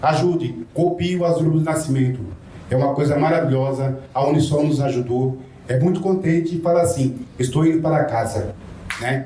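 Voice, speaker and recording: A man with a fairly high pitch speaks at a moderate pace and very even loudness. Audible room echo and noticeable background noise surround his voice. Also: ordinary pitch variation. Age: 60s. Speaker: former homeless resident, social housing tenant. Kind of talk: public testimony at seminar.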